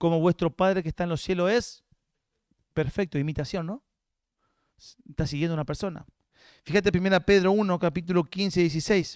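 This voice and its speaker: A man speaks at a fairly quick pace in a high voice with a Rioplatense accent, his intonation fairly even and marked by long, frequent pauses. The sound is dry and close with no echo, on a very clean recording with a silent background. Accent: Argentine Rioplatense Spanish. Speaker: guest pastor. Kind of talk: sermon.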